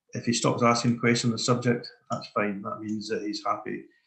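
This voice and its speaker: Amid audible room echo, a man talks at a moderate pace. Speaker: quantity surveyor presenting a webinar. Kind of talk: webinar lecture. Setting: online webinar.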